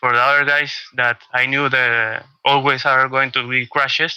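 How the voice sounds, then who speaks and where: A man's medium-pitched voice with a Spanish accent, fairly even intonation and a bright, sharp tone, dry and close with no echo. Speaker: sim racing driver. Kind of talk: post-race interview. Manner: halting.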